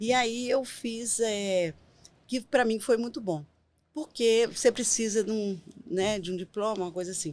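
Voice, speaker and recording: A woman speaks at a fairly slow pace in a normal speaking voice, her pitch fairly high with ordinary variation. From Brazil, Minas Gerais (Caratinga). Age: 50s. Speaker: writer and nonprofit program director. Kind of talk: podcast interview.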